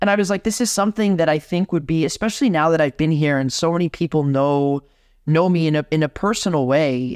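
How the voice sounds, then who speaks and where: An unremarkable speaking voice from a man, fairly high in pitch with ordinary pitch variation and a fairly quick pace, in a dry, close sound with no echo and a quiet background. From Miami, Florida, Cuban household. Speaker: concert organist. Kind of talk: interview.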